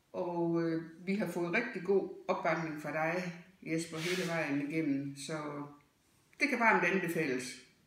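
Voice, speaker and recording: Very slow speech with long, frequent pauses and ordinary pitch variation, amid audible room echo and noticeable background noise. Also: woman, fairly low pitch for a woman. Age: 60s. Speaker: dental patient. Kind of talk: testimonial.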